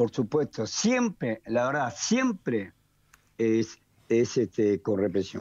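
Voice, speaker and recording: A man with a Rioplatense accent speaks at a fairly slow pace in a dark, mellow tone. The background is quiet. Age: 70s. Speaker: economist. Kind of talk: radio interview.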